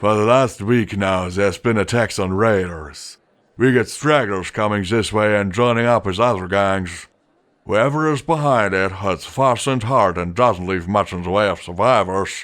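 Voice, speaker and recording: Using a put-on character voice, a man speaks at a fairly low pitch and a moderate pace. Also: ordinary pitch variation. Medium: read story. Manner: slow, deliberate.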